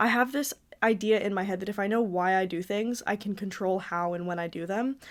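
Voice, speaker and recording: Medium in pitch with ordinary pitch variation, a woman talks at a very fast pace. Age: 20s. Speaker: content creator and podcast host. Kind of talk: casual chat. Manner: halting; animated.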